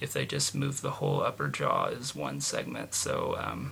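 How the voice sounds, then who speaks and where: A moderate pace with an American accent, against noticeable background noise. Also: man. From US Midwest (Indiana). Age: 20s. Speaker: vlogger. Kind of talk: personal video diary. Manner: casual with many fillers.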